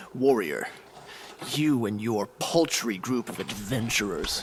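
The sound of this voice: A put-on character voice at a fairly slow pace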